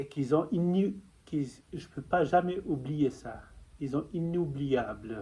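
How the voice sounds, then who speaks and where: With a non-native accent, a man speaks at a very slow pace in a somewhat breathy, fairly high voice with ordinary pitch variation. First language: not French (speaking French). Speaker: spiritual testimony vlogger. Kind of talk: personal testimony. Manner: halting.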